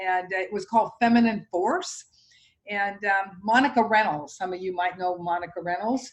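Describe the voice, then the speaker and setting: A woman's medium-pitched voice with a slight Massachusetts accent, at a moderate pace with ordinary pitch variation. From Massachusetts, Boston area. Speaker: real estate agent. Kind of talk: casual chat.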